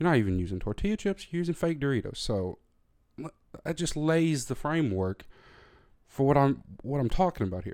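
Speaking fairly quickly with a Southern US accent, a man with a fairly high pitch makes very wide pitch swings and takes long, frequent pauses. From US South. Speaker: podcast host. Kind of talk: solo rant monologue. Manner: animated.

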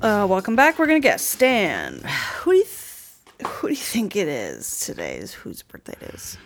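With noticeable background noise, a woman speaks at a moderate pace, her loudness swinging widely. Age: 30s. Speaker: podcast host. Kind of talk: casual comedic chat.

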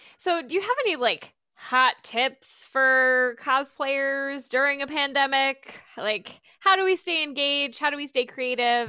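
A woman's raised, projected voice, high-pitched, bright and sharp, with ordinary pitch variation, a moderate pace and hardly any pauses. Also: very clean recording, silent background. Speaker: podcast host. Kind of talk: interview.

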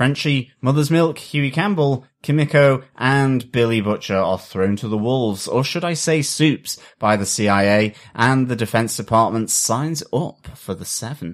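A man with a plain, everyday voice talks at a moderate pace with lively intonation. His pitch is medium, and the recording is very clean with a silent background. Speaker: podcast host. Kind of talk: casual podcast chat reviewing a TV episode.

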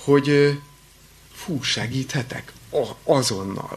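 Against noticeable background noise, a man with a fairly high voice talks with ordinary pitch variation. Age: 30s. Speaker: pastoral counselor and college lecturer. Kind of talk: lecture. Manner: halting, with repetitions.

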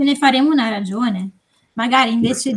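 A woman's fairly high-pitched, fairly quick delivery in an unremarkable speaking voice. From northern Italy, Varese. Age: 20s. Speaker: consultant and novelist. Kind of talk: casual podcast chat.

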